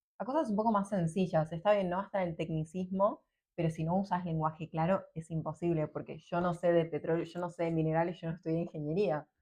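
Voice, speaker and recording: A woman with a somewhat breathy, dark, mellow tone and a fairly low pitch speaks at a fairly quick pace with hardly any pauses and fairly even intonation. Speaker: podcast host. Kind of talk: casual interview chat.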